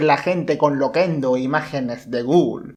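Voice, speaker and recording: A man's voice over a quiet background. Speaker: youtuber interviewer. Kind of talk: interview narration.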